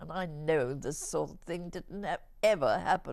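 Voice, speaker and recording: A woman with a British accent at a moderate pace. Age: 90s. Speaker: interviewee, relative of late bishop. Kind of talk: interview. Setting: care home.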